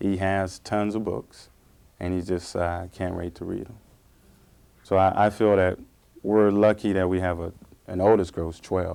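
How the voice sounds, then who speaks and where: A man speaks at a moderate pace in a very deep, low pitch, with a dark, mellow tone and monotone, flat intonation, leaving long, frequent pauses. The recording is very clean, with a silent background. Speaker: parent. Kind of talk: interview.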